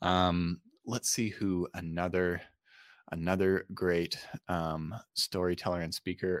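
Very slow and monotone in its flat intonation, the speech carries an American accent over a very clean recording with a silent background. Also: man, very deep, low pitch for a man. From Utah, US. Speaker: storytelling and presentation coach. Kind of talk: podcast interview. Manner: halting, many fillers.

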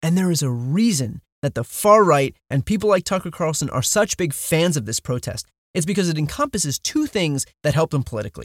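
A man talks at a fairly quick pace in a fairly high pitch, with lively intonation and an unremarkable speaking voice. The sound is dry and close, with no echo. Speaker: podcast host. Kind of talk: political commentary and interview.

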